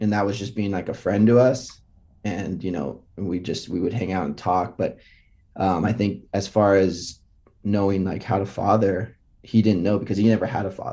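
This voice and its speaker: A man's fairly low, dark and mellow voice at a moderate pace, fairly even in intonation, over a quiet background. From US West Coast, Los Altos, California. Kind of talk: faith testimony in casual interview.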